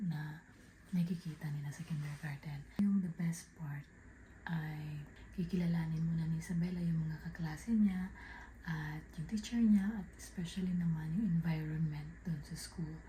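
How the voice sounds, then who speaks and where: This speaker is soft-spoken. The delivery keeps a moderate pace. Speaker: family vlogger. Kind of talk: casual vlog narration. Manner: soft-spoken, quiet because child asleep.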